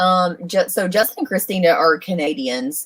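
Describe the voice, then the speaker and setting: A woman with a Southern accent speaks at a moderate pace with lively intonation. Her pitch sits fairly low. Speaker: RV solar consultant, livestream co-host. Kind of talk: livestream Q&A. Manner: casual, halting with many fillers.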